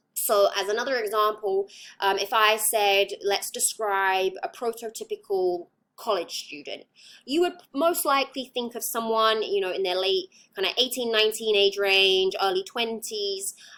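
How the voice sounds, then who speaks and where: In an English accent, a woman speaks at a moderate pace in a fairly high, bright and sharp voice with ordinary pitch variation. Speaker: psychology lecturer. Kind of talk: lecture. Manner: hesitant, many fillers.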